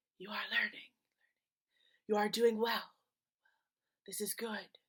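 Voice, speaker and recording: A woman uses a put-on character voice that is fairly high, calm in tone and monotone with flat intonation, speaking at a fairly slow pace. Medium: read story. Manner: calm, repetitive.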